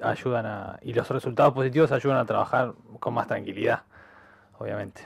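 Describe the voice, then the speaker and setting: At a moderate pace, a man talks with an Argentine accent. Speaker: handball player. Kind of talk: radio interview.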